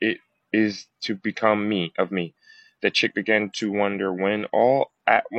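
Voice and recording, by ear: Against a quiet backdrop, a person reads aloud in a natural voice.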